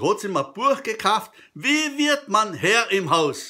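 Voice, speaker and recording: In a Carinthian accent, a raised, projected voice with a bright, sharp tone swings very widely in pitch over a quiet background. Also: man. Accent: Carinthian Austrian dialect. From Carinthia, Austria. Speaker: comedy storyteller. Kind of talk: humorous joke telling to camera. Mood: jovial, humorous. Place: kitchen. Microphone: webcam.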